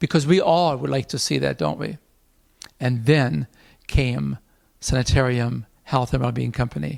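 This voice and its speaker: With an animated tone and a fairly quick pace, a man speaks in a dry, close sound with no echo. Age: 60s. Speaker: health program founder and doctor. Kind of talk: video update address.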